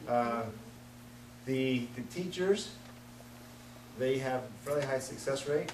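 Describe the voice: With audible room echo, a man talks slowly at a medium pitch with ordinary pitch variation.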